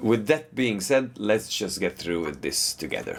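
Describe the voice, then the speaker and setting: Using lively intonation, a man talks with a non-native accent. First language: not English. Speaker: guitar teacher. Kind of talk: tutorial.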